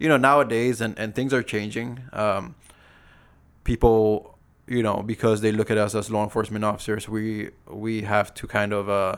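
Over a silent background in a very clean recording, a man speaks with a fairly low pitch and monotone, flat intonation. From Saipan, Northern Mariana Islands. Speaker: police officer and motorcycle vlogger. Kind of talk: casual chat.

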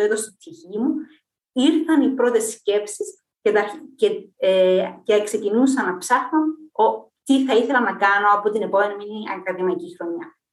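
A woman with an unremarkable speaking voice talks fairly slowly at a fairly high pitch, her intonation lively. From Cyprus. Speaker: physicist and university lecturer. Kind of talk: casual interview.

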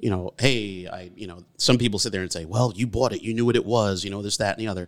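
A man with an American accent and fairly even intonation, on a very clean recording with a silent background. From Beacon, New York (Hudson Valley). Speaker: retired Coast Guard veteran. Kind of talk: casual chat.

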